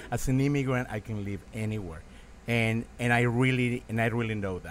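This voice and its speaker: A man with a Mexican accent, a fairly low pitch and a moderate pace. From Mexico. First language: Spanish. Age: 50s. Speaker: restaurant owner and former street artist. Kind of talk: casual chat. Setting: restaurant. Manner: animated.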